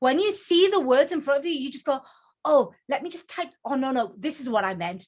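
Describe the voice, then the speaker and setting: A high-pitched woman's voice with a Geordie accent, fairly quick pace, very wide pitch swings and big swings in loudness. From northern England, Newcastle (Geordie). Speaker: author and book coach. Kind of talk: presentation to online group. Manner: fast.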